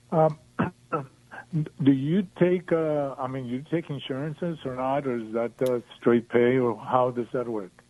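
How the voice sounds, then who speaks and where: A man with a Mexican accent, a dark, mellow tone, medium pitch with ordinary variation, and a fairly slow pace. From Mexico. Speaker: caller, patient. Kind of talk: call-in radio chat. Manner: halting, many fillers.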